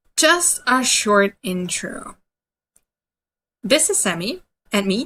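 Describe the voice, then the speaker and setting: A woman's high, bright, sharp voice with an Austrian accent, at a very slow pace with very wide pitch swings. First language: German. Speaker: dog trainer. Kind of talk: webinar presentation. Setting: online webinar.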